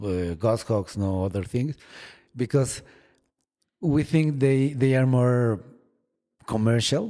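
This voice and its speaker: Dark, mellow tone with a Spanish accent, lively intonation and a quiet background. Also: man. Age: 40s. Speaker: falconer. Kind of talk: interview. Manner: halting, many repeated words.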